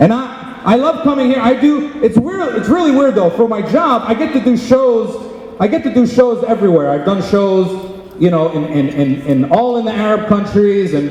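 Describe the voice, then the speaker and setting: A man with a Philadelphia accent, high in pitch, with very wide pitch swings and a moderate pace, plus audible room echo and noticeable background noise. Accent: American, Philadelphia. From Philadelphia, Pennsylvania, US. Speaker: comedian. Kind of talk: stand-up. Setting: stage with audience.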